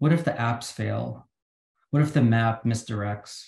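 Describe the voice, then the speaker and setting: A man speaks somewhat breathily. Room echo is audible. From Philippines. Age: 40s. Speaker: poet. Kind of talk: poetry reading. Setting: video call. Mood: calm, measured. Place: home room. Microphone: video call.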